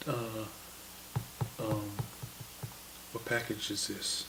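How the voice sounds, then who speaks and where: At a very slow pace, a man talks in a fairly low voice amid noticeable background noise and audible room echo. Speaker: vlogger. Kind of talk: unboxing video. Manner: hesitant, many fillers.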